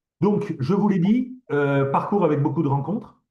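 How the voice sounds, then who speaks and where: This man speaks at a moderate pace, his voice somewhat breathy with a dark, mellow tone. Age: 60s. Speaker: professor. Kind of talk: lecture. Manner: halting, many fillers and repetitions.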